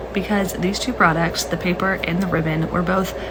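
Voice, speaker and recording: Soft-spoken and fairly low-pitched, a woman talks at a fairly quick pace with fairly even intonation, amid audible room echo and noticeable background noise. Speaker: social media user. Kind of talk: casual vlog rant.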